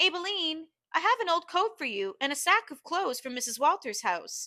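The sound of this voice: In a put-on character voice, a woman speaks at an extremely high pitch with big pitch swings and a bright, sharp tone. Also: moderate pace.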